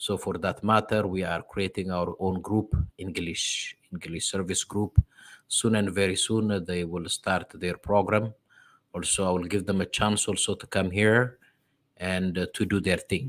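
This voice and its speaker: A man with an Ethiopian accent speaks at a moderate pace in a very deep, low voice with monotone, flat intonation. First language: Amharic. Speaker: diaspora religious program host. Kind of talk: sermon-like address. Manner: halting.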